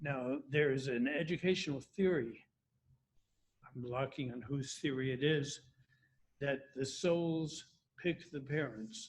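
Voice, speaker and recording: Somewhat breathy and with an American accent, the speaker keeps a fairly even intonation and leaves long, frequent pauses. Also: man, fairly high pitch for a man, fairly slow pace. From US, Washington DC suburbs, Virginia. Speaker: retirement community resident. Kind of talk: interview.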